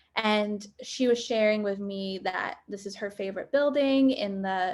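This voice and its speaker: A woman speaks in an unremarkable speaking voice, her pitch fairly high for a woman. Her pitch varies in an ordinary way at a moderate pace. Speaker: photographer. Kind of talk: workshop presentation.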